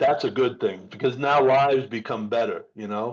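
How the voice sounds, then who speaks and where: A man's ordinary speaking voice at a moderate pace, pitched fairly high. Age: 60s. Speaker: podcast host. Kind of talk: casual chat.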